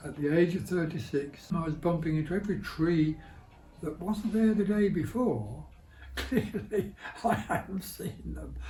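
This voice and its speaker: A man with a fairly high voice speaks at a moderate pace while music plays in the background. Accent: Birmingham. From Birmingham. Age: 80s+. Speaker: blind campaigner. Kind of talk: interview answer.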